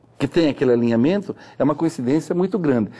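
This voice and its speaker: A man's fairly high-pitched voice has a dark, mellow tone and very wide pitch swings. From Ponta Porã, Mato Grosso do Sul, Brazil. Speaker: physicist and astronomy researcher. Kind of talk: interview. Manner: halting, with frequent repetitions.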